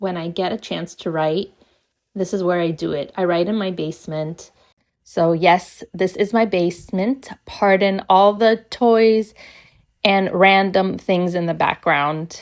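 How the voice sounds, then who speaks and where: On a very clean recording with a silent background, a woman with a non-native accent speaks very slowly at a medium pitch with fairly even intonation. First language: not English. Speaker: knitting vlogger and writer. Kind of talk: casual vlog. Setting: home basement.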